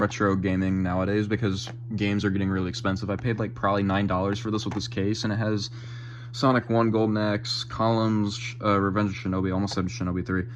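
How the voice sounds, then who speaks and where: Over audible room echo, a man races along at a very fast pace in a fairly low pitch with ordinary pitch variation. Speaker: gaming youtuber. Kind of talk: collection tour video. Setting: game room at home. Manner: casual with many fillers.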